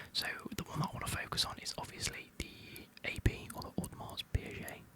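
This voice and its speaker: A man whispers over noticeable background noise. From United Kingdom. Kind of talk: ASMR whispered ramble. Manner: whispered.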